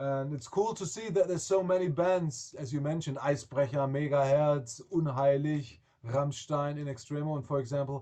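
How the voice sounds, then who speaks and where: With a German accent, a man speaks at a moderate pace with hardly any pauses, his fairly high, somewhat breathy voice carrying a dark, mellow tone and ordinary pitch variation. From Germany. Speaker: rock singer. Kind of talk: interview.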